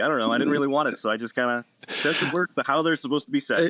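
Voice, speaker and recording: Very fast and with an American accent, a man talks at a fairly high pitch with ordinary pitch variation. The sound is dry and close with no echo, though background noise is noticeable. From Massachusetts, south of Boston. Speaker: physical therapist and wellness clinic owner. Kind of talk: podcast interview.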